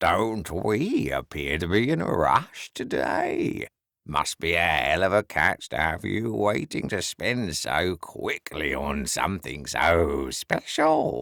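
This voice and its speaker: A man speaks fairly slowly in a very deep, low, gravelly put-on character voice. The recording is very clean, with a silent background. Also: hardly any pauses. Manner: teasing, knowing.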